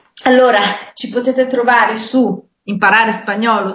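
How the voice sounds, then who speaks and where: A woman talks over music playing in the background. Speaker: podcast co-host. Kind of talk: casual chat.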